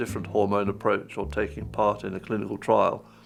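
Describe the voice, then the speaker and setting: Talking at a very fast pace, a man with a fairly low pitch and vocal fry keeps his intonation fairly even. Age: 70s. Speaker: cancer patient. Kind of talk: documentary interview testimony.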